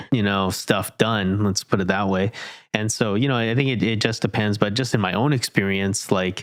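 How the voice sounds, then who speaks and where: Having a normal speaking voice, a man talks at a moderate pace and a fairly low pitch with fairly even intonation. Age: 30s. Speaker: podcast host. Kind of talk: casual interview chat.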